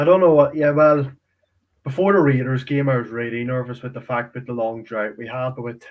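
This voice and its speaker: The speaker is a man with an Irish accent. His pitch is medium. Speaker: sports fan. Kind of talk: casual chat.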